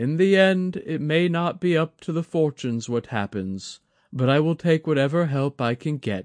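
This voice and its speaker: Over a quiet background, a man puts on a character voice at a fairly high pitch, speaking at a moderate pace. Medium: read story. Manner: measured, courteous, self-deprecating.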